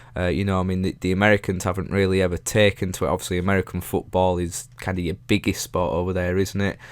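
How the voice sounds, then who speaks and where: Very deep and low in pitch, a man speaks with a Yorkshire accent at a very fast pace, with hardly any pauses. His intonation is monotone and flat, and the recording is very clean with a silent background. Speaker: YouTuber. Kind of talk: casual Q&A monologue. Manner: halting, many fillers.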